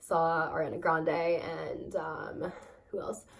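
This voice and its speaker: A woman speaks at a fairly low pitch with vocal fry. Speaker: vlogger. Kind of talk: casual chat. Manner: fast; hesitant, many fillers.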